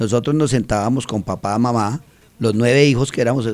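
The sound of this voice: The speech moves at a fairly quick pace, with a slightly mellow tone and ordinary pitch variation. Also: man, medium pitch for a man.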